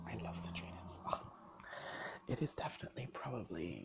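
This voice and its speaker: Whispering at a fairly quick pace, a man speaks over noticeable background noise. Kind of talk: ASMR soft-spoken talk to camera. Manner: soft-spoken.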